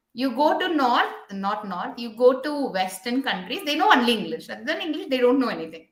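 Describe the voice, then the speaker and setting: With audible room echo, a woman talks at a fairly quick pace in a high voice. Her pitch swings very widely. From India. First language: an Indian language. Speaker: podcast host, physiotherapist. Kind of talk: interview podcast chat. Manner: animated.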